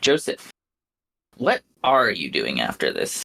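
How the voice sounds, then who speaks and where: A man's put-on character voice at a fairly slow pace, dry and close with no echo. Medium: actual play. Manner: terse, understated.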